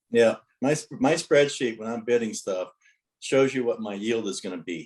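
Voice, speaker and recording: A man with an unremarkable speaking voice talks at a medium pitch and a moderate pace. His pitch varies in an ordinary way, while his loudness swings widely. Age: 60s. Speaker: note investor. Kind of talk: interview.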